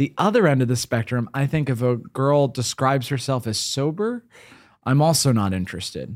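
Recorded very cleanly against a silent background, a man with an American accent, medium pitch and an unremarkable speaking voice talks at a moderate pace with lively intonation. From US Northeast. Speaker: podcast host. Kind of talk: casual chat.

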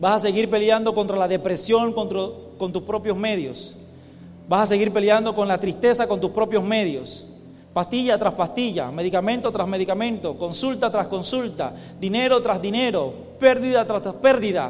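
A man speaks in a high voice. Room echo is audible, and background noise is noticeable. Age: young. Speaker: pastor. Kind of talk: sermon. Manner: emphatic.

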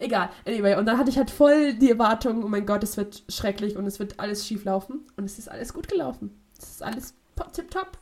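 Over noticeable background noise, a woman talks at a fairly quick pace with a fairly high pitch. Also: ordinary pitch variation. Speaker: podcast co-host, university student. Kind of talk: casual chat. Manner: fast; halting.

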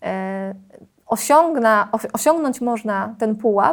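Her intonation lively, a woman is speaking. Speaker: secondary school Polish teacher. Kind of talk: interview.

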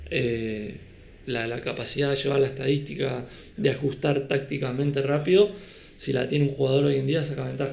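Somewhat breathy and fairly high-pitched, a man speaks at a moderate pace with fairly even intonation. Audible room echo surrounds his voice. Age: 30s. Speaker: beach volleyball coach and former player. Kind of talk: casual chat.

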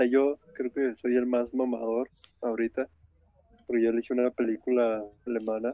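A man's medium-pitched voice at a moderate pace, monotone and flat, with long, frequent pauses. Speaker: podcast co-host. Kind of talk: casual chat.

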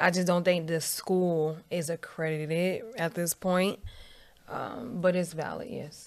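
A woman with an ordinary speaking voice speaks at a fairly slow pace with a fairly low pitch and fairly even intonation. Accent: American. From Northern Virginia, DMV area (Dumfries). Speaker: entrepreneur and real estate agent. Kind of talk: casual interview.

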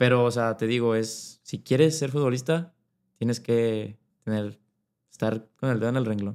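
Speaking at a moderate pace with fairly even intonation, a man uses an unremarkable speaking voice at medium pitch. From Mexico, Monterrey, Nuevo León. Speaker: professional footballer. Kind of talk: casual interview.

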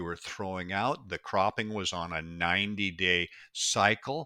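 A man with an American accent speaks at a fairly slow pace in a bright, sharp tone. The recording is very clean and dry, close with no echo and a silent background. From US Pacific Northwest. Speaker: mushroom expert and company founder. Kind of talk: interview.

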